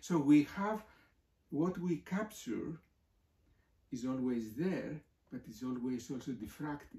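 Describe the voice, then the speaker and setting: A man's fairly high, somewhat breathy voice in a Greek accent, very slow with long, frequent pauses and lively intonation, with audible room echo. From Greece. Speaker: professor. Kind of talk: interview. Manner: halting. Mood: thoughtful, explanatory. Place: home room. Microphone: camera far.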